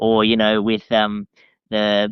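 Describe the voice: A man speaks slowly in a fairly low, monotone, flat voice with a clear, smooth tone and a dry, close sound with no echo.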